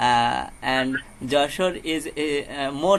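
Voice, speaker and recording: A man's fairly high voice with a Bengali accent. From Bangladesh, Jessore. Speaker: English learner. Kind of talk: casual chat. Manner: halting.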